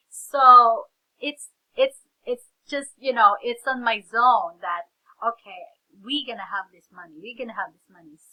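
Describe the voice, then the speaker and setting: In a dry, close sound with no echo, a woman talks at a high pitch with ordinary pitch variation. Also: fairly slow pace. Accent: Filipino. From Philippines. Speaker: reseller, vlogger. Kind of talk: casual vlog storytelling. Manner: animated.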